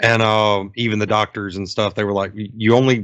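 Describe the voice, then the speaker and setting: A man is speaking. His voice has a medium pitch. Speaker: podcast co-host. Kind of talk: casual chat. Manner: conversational, filler-heavy. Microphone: new mic.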